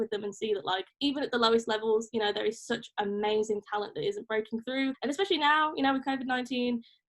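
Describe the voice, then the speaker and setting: A woman in a Birmingham accent talks at a very fast pace and a fairly high pitch, with ordinary pitch variation. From England, Birmingham. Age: 20s. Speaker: music journalist. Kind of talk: casual interview chat. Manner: animated.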